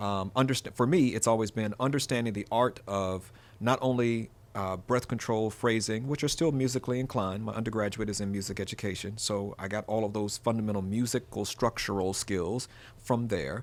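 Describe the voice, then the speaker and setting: A man's fairly low voice at a fairly quick pace with ordinary pitch variation. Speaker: voice artist and radio imaging producer. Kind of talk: interview.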